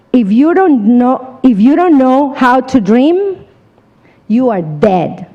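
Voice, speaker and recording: A woman speaks very slowly at a high pitch, with very wide pitch swings. Noticeable background noise is present. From Colombia. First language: Spanish. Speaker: seminar speaker, insurance business. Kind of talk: motivational talk. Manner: animated.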